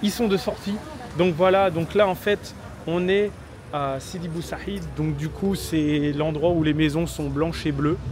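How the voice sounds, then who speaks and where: Noticeable background noise sits under a man who speaks at a fairly slow pace with ordinary pitch variation. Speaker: travel vlogger. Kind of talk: vlog narration to camera.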